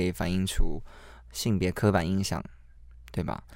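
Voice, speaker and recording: The recording is very clean, with a silent background. A man speaks at a moderate pace in a very deep, low pitch. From Taiwan (lived in mainland China as a young child). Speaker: podcast co-host. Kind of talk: casual chat.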